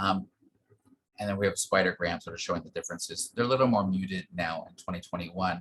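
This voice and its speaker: A man talking at a very fast pace. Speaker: medical researcher. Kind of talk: lecture.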